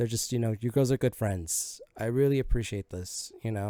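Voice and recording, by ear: Natural-voiced reading aloud, the pitch varying in an ordinary way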